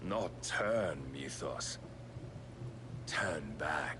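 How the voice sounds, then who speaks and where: A man's put-on character voice over loud background noise. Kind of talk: grandiose villain speech. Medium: video game. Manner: archaic, measured, preaching.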